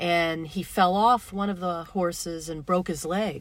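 A woman with fairly low pitch speaks at a very slow pace in a very clean recording with a silent background. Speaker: radio host. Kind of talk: casual radio conversation.

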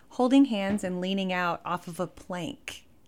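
With an American accent, a woman talks in an ordinary speaking voice, her pitch medium and its variation ordinary. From Texas, Fort Worth. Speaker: musician. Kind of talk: casual chat.

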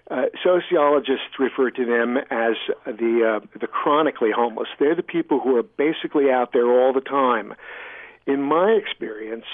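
This man talks at a moderate pace with a medium pitch and ordinary pitch variation, over noticeable background noise. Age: 60s. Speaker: author and environmental activist. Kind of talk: radio interview. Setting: remote line from home. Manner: halting, frequent fillers.

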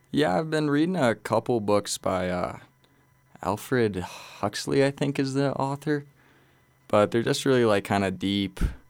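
In a very clean recording with a silent background, a man with an American accent uses a plain, everyday voice with lively intonation at a moderate pace. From Colorado. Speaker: guest. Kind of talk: casual interview. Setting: studio.

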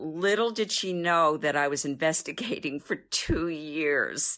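A plain, everyday voice at a fairly slow pace with ordinary pitch variation, on a very clean recording with a silent background. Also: woman. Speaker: family caregiver. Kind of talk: recorded interview.

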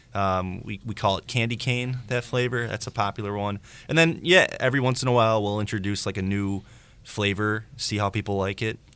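In a very clean recording with a silent background, a man with a plain, everyday voice speaks fairly quickly at a fairly low pitch with fairly even intonation. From Chicago suburbs, Illinois. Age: 30s. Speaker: ice cream business owner. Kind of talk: radio interview.

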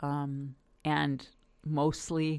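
A woman speaks with a very deep, low pitch in a Californian accent. The recording is very clean, with a silent background. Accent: Californian American. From US West Coast, Los Angeles. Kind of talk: interview.

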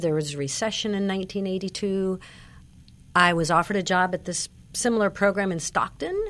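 An ordinary speaking voice with ordinary pitch variation, on a very clean recording with a silent background. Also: woman. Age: 60s. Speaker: senior nutrition program nutritionist. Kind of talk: radio interview. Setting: studio.

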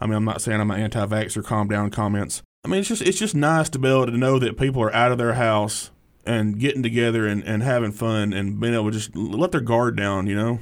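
A man with an Alabama accent, medium pitch, ordinary pitch variation, and a very fast pace. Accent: US Southern (Alabama). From Alabama (Hartsville area). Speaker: stand-up comedian. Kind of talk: casual interview.

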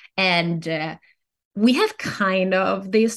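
A woman with a strong Italian accent speaks at a very slow pace in a somewhat breathy, medium-pitched voice with ordinary pitch variation, and the background is quiet. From northern Italy. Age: 30s. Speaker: novelist and former neuroscientist. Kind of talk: interview. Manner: hesitant, many fillers and repetitions.

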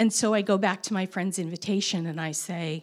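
A woman's normal speaking voice, fairly slow and fairly even in intonation, on a very clean recording with a silent background. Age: 50s. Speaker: storyteller. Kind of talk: personal story told to an audience.

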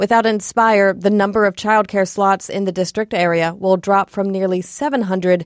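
A woman with an ordinary speaking voice speaks at a moderate pace and medium pitch on a very clean recording with a silent background and a dry, close sound with no echo. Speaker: education reporter. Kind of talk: scripted radio news report. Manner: clear, measured, steady reporter delivery.

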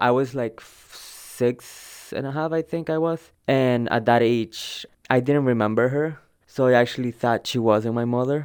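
A man with a Spanish accent speaks fairly slowly at a medium pitch. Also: fairly even intonation. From El Salvador. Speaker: undocumented immigrant student. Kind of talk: personal testimony interview.

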